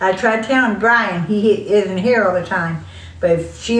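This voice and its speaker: A woman with an American accent at medium pitch and moderate pace, amid audible room echo and noticeable background noise. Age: old. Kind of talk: casual chat.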